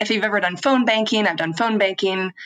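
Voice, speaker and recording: In a normal speaking voice, a woman talks at a medium pitch with an American accent. Her pace is fairly quick. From US, rural Washington State. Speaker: philanthropy advisor, business owner. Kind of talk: podcast interview. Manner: many filler ums.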